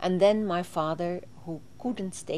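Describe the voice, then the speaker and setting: Her voice is fairly low for a woman, dark and mellow in tone, with ordinary pitch variation and a fairly slow pace. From southern Sweden (Småland, near Vimmerby). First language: Swedish. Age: 60s. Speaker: interviewee recounting her life. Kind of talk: interview testimony. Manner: halting, with frequent fillers.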